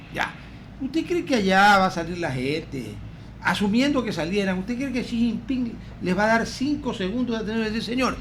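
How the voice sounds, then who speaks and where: Amid audible room echo, a man with a high pitch talks at a moderate pace with lively intonation. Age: 70s. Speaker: radio host. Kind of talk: radio talk show interview. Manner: animated.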